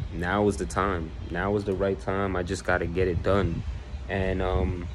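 With music in the background, a man talks at a very deep, low pitch with ordinary pitch variation. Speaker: home DIY vlogger. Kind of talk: casual vlog chat. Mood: reflective, motivational. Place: home room. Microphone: phone near.

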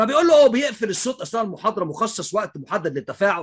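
A man speaks at a fairly quick pace in a bright, sharp tone against a quiet background. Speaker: English teacher. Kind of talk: casual vlog commentary. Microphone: webcam.

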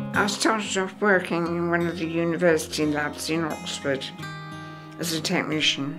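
Clear music plays in the background as a woman with a fairly low pitch talks at a moderate pace. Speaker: retired virology research officer. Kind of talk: interview answer. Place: home room.

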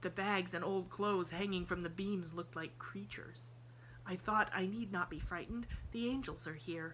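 Here is reading aloud in a natural voice. The pitch varies in an ordinary way.

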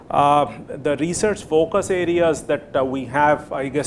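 A man with a fairly high pitch speaks at a moderate pace with ordinary pitch variation. Noticeable background noise can be heard. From India, Allahabad; India. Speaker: professor. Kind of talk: lecture. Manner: halting, many fillers. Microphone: podium.

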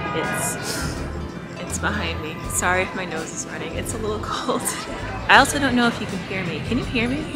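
A woman speaks at a fairly quick pace. Loud music plays in the background. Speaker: vlogger. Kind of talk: casual vlog chat. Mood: playful, slightly self-conscious. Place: street. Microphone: phone near.

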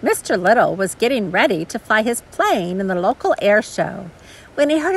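In a natural voice, someone reads a text aloud.

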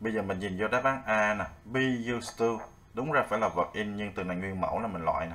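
A man talks at a very fast pace. His voice is fairly low, with ordinary pitch variation. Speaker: English teacher. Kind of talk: tutorial. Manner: casual, friendly, explanatory.

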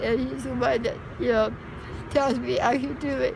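A woman speaks with an American accent. Noticeable background noise sits behind her. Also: dry sound with no echo. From Southern California. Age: 50s. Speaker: homeless resident; interviewee. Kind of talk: interview. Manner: halting. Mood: earnest, regretful, emotional. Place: street. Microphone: phone near.

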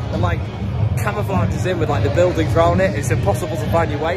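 Over loud music in the background, a man talks at a very fast pace with ordinary pitch variation. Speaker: football fan vlogger. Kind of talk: casual vlog chat. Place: stadium. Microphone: phone near.

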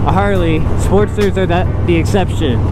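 With music in the background, a man talks with ordinary pitch variation on a dry recording with no echo. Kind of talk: casual vlog chat. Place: motorbike. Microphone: helmet.

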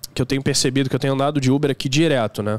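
The man's fairly high voice comes through dry, without any echo. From Rio de Janeiro, Brazil. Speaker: rideshare driver and YouTuber; podcast guest or host. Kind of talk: casual chat; casual podcast conversation. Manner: halting. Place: studio. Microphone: studio mic.

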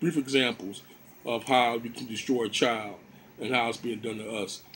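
Light background noise sits under a man speaking at a moderate pace in a monotone, flat delivery. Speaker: home lecturer. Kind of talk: lecture. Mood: earnest, argumentative. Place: home room. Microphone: phone near.

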